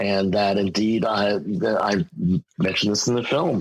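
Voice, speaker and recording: This man has an American accent and a fairly low pitch. He talks at a moderate pace in a normal speaking voice. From US Northeast, Westchester County, New York. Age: 60s. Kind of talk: interview.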